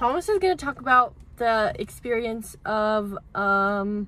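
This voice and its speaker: A woman speaks loudly with lively intonation and a fairly high pitch. Her tone is bright and sharp. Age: 20s. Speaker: lifestyle vlogger. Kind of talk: casual chat.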